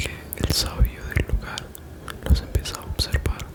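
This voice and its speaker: A man whispers while music plays in the background. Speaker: 3D artist, ASMR storyteller. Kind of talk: ASMR bedtime story narration. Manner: soft-spoken, relaxing.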